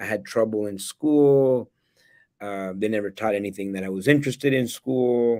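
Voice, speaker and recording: In a very clean recording with a silent background, a man has an ordinary speaking voice, a fairly low pitch, ordinary pitch variation and a moderate pace. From El Salvador, then Canada from age nine. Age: 40s. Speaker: real estate investor and educator. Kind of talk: interview.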